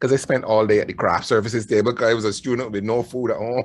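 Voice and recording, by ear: A man with a Barbadian accent and a slightly husky edge.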